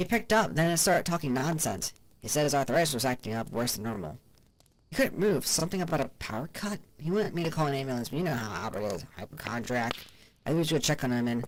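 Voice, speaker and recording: At a very fast pace, the speaker uses a put-on character voice pitched low-to-middle. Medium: read story. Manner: chatty, exaggerating.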